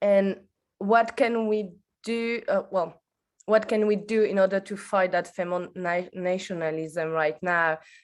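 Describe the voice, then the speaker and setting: Speaking at a very slow pace, a woman with a French accent uses a medium pitch and fairly even intonation against a quiet background. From France. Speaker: audience member asking a question. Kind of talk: Q&A question at an online workshop. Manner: halting, hesitant.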